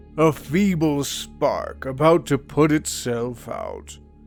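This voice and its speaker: Over faint background music, a man uses a put-on character voice at a fairly high pitch and talks at a very slow pace. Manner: menacing.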